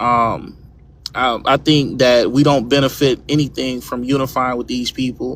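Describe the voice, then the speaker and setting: Over noticeable background noise, a man talks in a monotone with flat intonation. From Louisiana. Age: 30s. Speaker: live stream guest. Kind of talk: casual debate.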